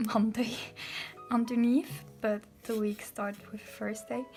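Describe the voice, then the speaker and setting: With music in the background, a woman speaks with a non-native accent. Her pitch is fairly high and her intonation fairly even. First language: not English. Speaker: bullet journal hobbyist. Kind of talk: casual talk to camera, journal flip-through. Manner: hesitant, many fillers.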